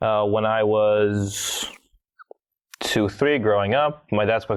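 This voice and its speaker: A man with an American accent speaks at a moderate pace in a fairly low voice. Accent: American-sounding English. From Bulgaria (Sofia). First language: Bulgarian. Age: 20s. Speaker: podcast guest. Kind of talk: interview storytelling.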